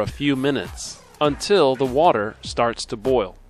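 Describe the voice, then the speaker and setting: With music in the background, a man with an American accent speaks at a medium pitch and a very slow pace. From Missouri, USA. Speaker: English teacher. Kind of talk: ESL video lesson narration.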